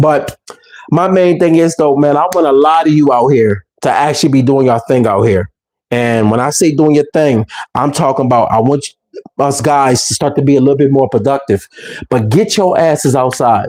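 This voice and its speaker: Animated in tone, a man speaks at a fairly high pitch. His pitch varies in an ordinary way. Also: very even loudness. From Philadelphia, US. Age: 40s. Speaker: YouTuber. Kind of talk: casual vlog monologue. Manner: fast.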